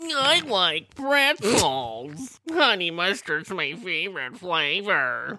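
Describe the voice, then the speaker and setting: A put-on character voice that sounds female, pitched in the middle range for a woman. It moves at a very slow pace with hardly any pauses and very wide pitch swings. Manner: mimicking.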